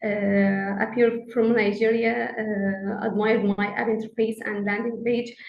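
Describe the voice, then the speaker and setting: Noticeable background noise surrounds this woman's voice. Her pitch is fairly high and her intonation monotone and flat. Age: 30s. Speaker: scientific researcher, programme graduate. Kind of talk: webinar panel answer. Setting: online webinar. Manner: halting, many fillers.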